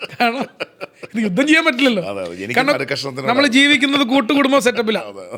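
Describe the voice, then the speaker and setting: Over noticeable background noise, a man speaks in a raised, projected voice with extremely high pitch and ordinary pitch variation. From Kerala. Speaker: sports commentator. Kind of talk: interview answer.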